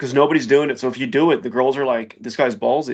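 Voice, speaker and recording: This man talks at a very fast pace with vocal fry. His pitch is medium, with ordinary variation. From Los Angeles. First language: Spanish. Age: 30s. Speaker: YouTuber and entrepreneur. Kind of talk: casual chat. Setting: driving in his car.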